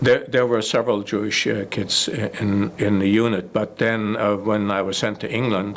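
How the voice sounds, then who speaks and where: Over noticeable background noise, a man talks at a moderate pace with hardly any pauses. His intonation stays monotone and flat. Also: fairly low pitch for a man. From Germany. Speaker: war veteran. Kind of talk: interview. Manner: halting.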